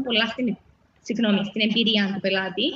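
A fairly high-pitched woman with a Cypriot accent at a moderate pace. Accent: Cypriot Greek. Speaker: spa owner. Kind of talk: interview. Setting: live stream.

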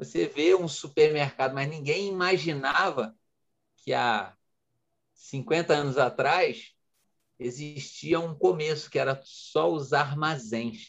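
Very slowly, a man speaks in a fairly high pitch with ordinary pitch variation. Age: 40s. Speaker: entrepreneur and coach. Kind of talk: interview. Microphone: connection glitch.

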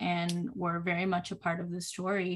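On a very clean recording with a silent background, a woman with a Puerto Rican accent speaks at a fairly slow pace. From Puerto Rico. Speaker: children's author, former teacher. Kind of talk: interview.

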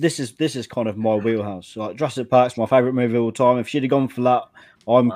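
This man has an English accent and a medium pitch. His tone is dark and mellow. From England. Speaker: podcast producer. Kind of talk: casual chat.

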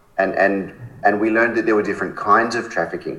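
This is a man with an Australian accent. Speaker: charity founder. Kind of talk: interview.

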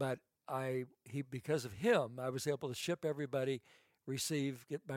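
A man's ordinary speaking voice at medium pitch, with fairly even intonation and a dry, close sound with no echo. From Idaho, US. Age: 60s. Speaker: fashion designer. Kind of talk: podcast interview.

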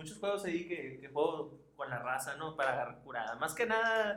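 A man's voice with audible room echo. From Mexicali, Baja California, Mexico. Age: 20s. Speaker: podcast co-host, gaming streamer. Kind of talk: casual chat.

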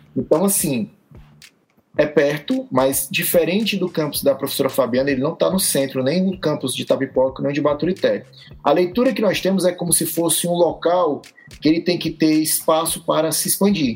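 Talking with ordinary pitch variation, a man's fairly high voice keeps a moderate pace. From Brazil, Ceará (Fortaleza). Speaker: physical education teacher. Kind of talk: casual chat.

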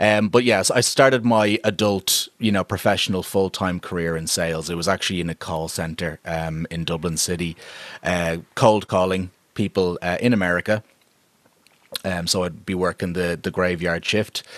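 With an Irish accent, a man with a very deep, low voice speaks at a moderate pace and fairly even intonation, the sound dry and close with no echo. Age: 30s. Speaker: podcast producer and voiceover artist. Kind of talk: interview. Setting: remote call.

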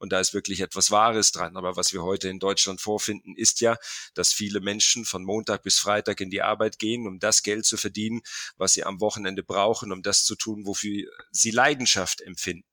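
The tone is bright and sharp, delivered at a fairly quick pace with monotone, flat intonation. The recording is very clean with a silent background and a dry, close sound with no echo. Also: man, fairly low pitch for a man. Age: 50s. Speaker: football academy founder. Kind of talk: interview.

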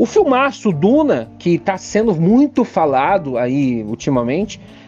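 A man's high voice with a dark, mellow tone, very wide pitch swings and a fairly slow pace. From Curitiba, southern Brazil. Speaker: podcast host. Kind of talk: casual chat.

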